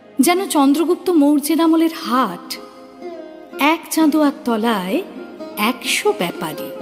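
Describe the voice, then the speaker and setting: Music plays in the background as a woman talks. Her pitch is high and her intonation lively. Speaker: reciter. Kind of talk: poetry reading.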